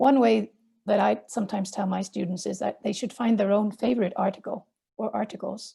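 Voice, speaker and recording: With a Swedish accent, a woman speaks at a fairly quick pace in a dark, mellow tone, at a medium pitch with ordinary pitch variation and vocal fry. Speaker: journal editor and academic. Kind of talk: webinar presentation. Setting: online webinar.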